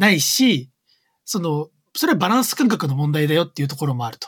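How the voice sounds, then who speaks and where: A man's voice sits fairly high with lively intonation. His pace is fairly quick. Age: 30s. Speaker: creative coder. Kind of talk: casual chat. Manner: loud; frequent laughter.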